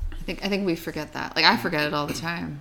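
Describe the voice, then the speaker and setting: Fairly quick woman's speech in an American accent, fairly low in pitch, bright and sharp in tone. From Pittsburgh area, Pennsylvania. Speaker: teacher. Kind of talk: casual chat.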